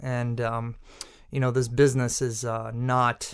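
A man speaks in a Boston accent with monotone, flat intonation. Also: very clean recording, silent background. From Massachusetts North Shore (Peabody). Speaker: chef and restaurant owner. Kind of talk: casual interview. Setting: studio.

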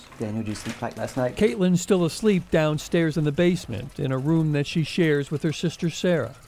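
Over noticeable background noise, a man speaks at a fairly quick pace with hardly any pauses. His tone is warm and serious, his intonation lively and his pitch fairly high. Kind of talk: true-crime podcast narration. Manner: measured, solemn storytelling pace with dramatic gravity; warm, serious, steady reporter delivery.

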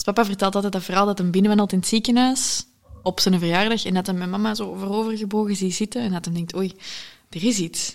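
Speaking at a fairly quick pace, a woman has an unremarkable speaking voice, medium pitch and fairly even intonation. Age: 20s. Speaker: entrepreneur. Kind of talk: casual interview. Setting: living room.

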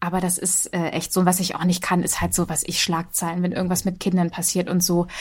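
A woman talks very fast at a fairly low pitch, somewhat breathy and monotone with flat intonation. The recording is very clean, with a silent background. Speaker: podcast host. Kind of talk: casual chat. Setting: home office. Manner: changes pitch when mic on.

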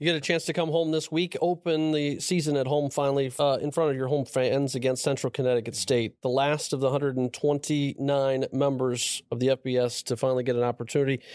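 Talking at a fairly quick pace with hardly any pauses, a man keeps a fairly high pitch, monotone, flat intonation and very even loudness on a very clean recording with a silent background. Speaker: podcast co-host. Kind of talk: sports podcast chat.

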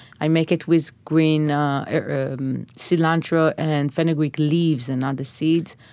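A woman with an Israeli accent speaks fairly slowly in a very deep, low voice, dark and mellow in tone, with monotone, flat intonation. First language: Hebrew. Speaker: chef. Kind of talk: interview.

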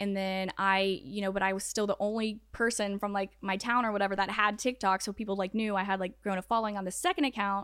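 Speaking very fast with hardly any pauses, a woman at a medium pitch uses a monotone, flat intonation in a slight Southern US accent. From Atlanta, Georgia. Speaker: TikTok creator. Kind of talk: casual interview chat.

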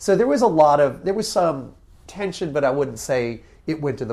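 A man with an American accent speaks at a fairly quick pace. He has a normal speaking voice with lively intonation. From Connecticut, US Northeast. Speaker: tech entrepreneur and author. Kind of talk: interview.

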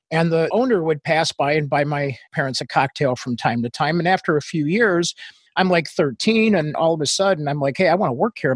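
A man's normal speaking voice, fairly high in pitch, with lively intonation at a fairly quick pace over a quiet background. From Northwest Indiana, US; raised in England and Australia. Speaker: business founder and social media marketing expert. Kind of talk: casual interview conversation.

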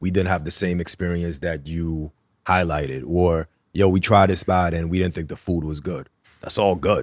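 A very deep, low male voice with a New York accent, a moderate pace and fairly even intonation, on a very clean recording with a silent background. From Queens, New York City. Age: 30s. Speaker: food content creator, former journalist. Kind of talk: casual chat.

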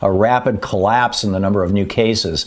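A man with an American accent, fairly low pitch and ordinary pitch variation, talking at a fairly quick pace over noticeable background noise. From Michigan, US. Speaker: science radio host. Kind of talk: interview.

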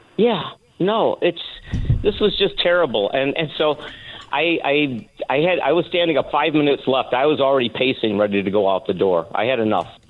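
A man with an American accent speaks at a moderate pace in a fairly high voice. His pitch swings very widely while his loudness stays very even. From Michigan. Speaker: caller, local elected official. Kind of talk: phone-in call. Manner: halting.

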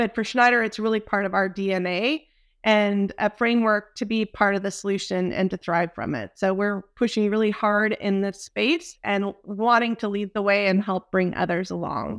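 Speaking with an American accent, a woman uses an ordinary speaking voice at medium pitch, moving at a moderate pace with fairly even intonation and hardly any pauses, on a very clean recording with a silent background. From Texas. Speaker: energy industry executive. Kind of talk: interview.

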